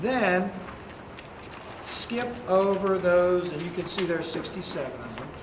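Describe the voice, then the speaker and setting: A man speaks in a high pitch. Audible room echo and noticeable background noise surround him. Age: 60s. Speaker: high school history teacher. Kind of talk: classroom lecture. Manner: conversational.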